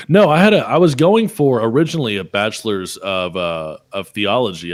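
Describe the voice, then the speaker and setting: A man with a slight Southern US accent on a very clean recording with a silent background. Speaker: podcast host. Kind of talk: casual chat.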